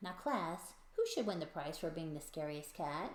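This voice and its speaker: Over clear background noise, a woman puts on a character voice at a fairly low pitch. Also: moderate pace. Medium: read story.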